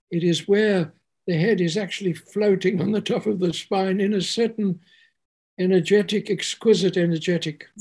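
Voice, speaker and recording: A man talks in a high pitch with monotone, flat intonation. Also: moderate pace, very clean recording, silent background. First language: English (speaking German). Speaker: spiritual teacher; homeopath. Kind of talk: spiritual talk. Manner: halting.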